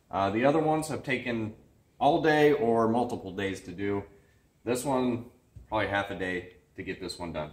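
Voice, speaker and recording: A man speaks, and audible room echo hangs on his voice. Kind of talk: tutorial. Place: garage. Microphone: camera far.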